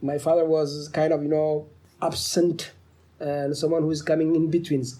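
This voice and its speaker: At a moderate pace, a man with a Somali accent speaks at a fairly high pitch in a dark, mellow tone. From Djibouti. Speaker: author and professor. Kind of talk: interview. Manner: halting.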